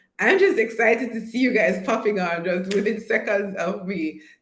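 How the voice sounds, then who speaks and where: A woman speaks at a medium pitch and a moderate pace, her tone animated. Audible room echo and noticeable background noise are present. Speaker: online course coach. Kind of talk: live stream chat.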